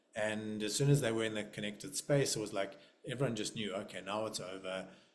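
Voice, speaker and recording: Audible room echo follows speech delivered at a very fast pace with fairly even intonation. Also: man, fairly low pitch for a man. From South Africa. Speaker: nervous system facilitator. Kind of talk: casual chat. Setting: video call.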